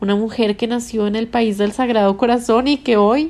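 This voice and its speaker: This woman has an unremarkable speaking voice. Her pitch is fairly high and her pace moderate. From Colombia, Bogotá. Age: 30s. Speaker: podcast host. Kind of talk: scripted narration. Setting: hotel room.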